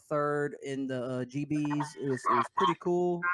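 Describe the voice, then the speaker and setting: Speaking with an American accent, a man uses a fairly high pitch and fairly even intonation. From US South (Denham Springs, Louisiana). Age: 20s. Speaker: gaming podcast co-host, esports player. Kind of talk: casual chat.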